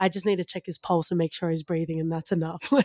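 In a dry, close sound with no echo, a woman speaks with an Australian accent on a very clean recording with a silent background. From Australia, Western Sydney. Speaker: podcast co-host. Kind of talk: casual chat.

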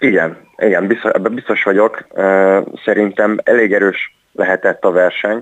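A man speaks at a moderate pace, his loudness very even throughout. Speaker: ice hockey coach. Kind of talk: phone interview. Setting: phone call. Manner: halting, repeats words.

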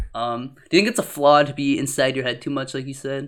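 A man with a fairly high pitch and an animated tone at a fairly quick pace. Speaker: podcast host. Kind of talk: casual chat. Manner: loud; animated, laughs often.

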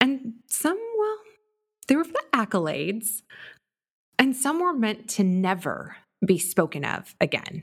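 A woman with a Californian accent speaks at a fairly slow pace in a somewhat breathy voice, her pitch swinging very widely between long, frequent pauses. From Southern California. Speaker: podcast host. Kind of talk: casual monologue. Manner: animated.

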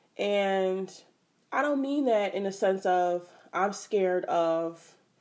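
Her medium-pitched voice has a dark, mellow tone and an American accent. The woman is heard in a very clean recording with a silent background. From Philadelphia, Pennsylvania. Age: 20s. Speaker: podcast host. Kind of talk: casual monologue. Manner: animated.

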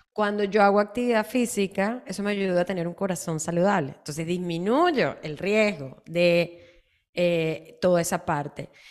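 A woman speaks at a moderate pace and a medium pitch with ordinary pitch variation. She has a plain, everyday voice. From Latin America. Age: 40s. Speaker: health and nutrition podcast host. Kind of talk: casual health chat.

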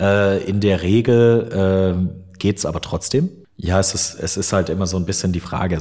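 In a very deep, low voice with a dark, mellow tone, a man speaks with fairly even intonation. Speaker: metalcore vocalist and voice-over artist. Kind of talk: casual interview. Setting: large empty side room at concert venue. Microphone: room echo and open window audible.

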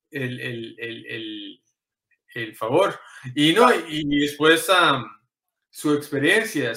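Speaking at a very slow pace, this man has a fairly high-pitched voice. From Los Angeles (Inglewood), California, Costa Rican parents. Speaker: former teacher and tech entrepreneur. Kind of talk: interview. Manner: halting, many repetitions.

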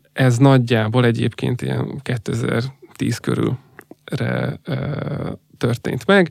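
Ordinary pitch variation in a man's medium-pitched speech. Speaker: gaming industry executive. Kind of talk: interview.

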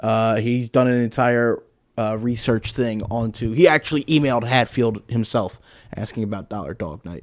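A man's normal speaking voice at medium pitch and moderate pace, in a very clean recording with a silent background. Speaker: sports podcast co-host. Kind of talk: casual sports banter.

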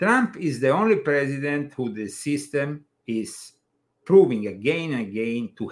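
Speaking with an Italian accent, this man has a fairly high pitch. His pace is fairly slow. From Italy. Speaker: podcast host and author. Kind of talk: casual chat. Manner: animated.

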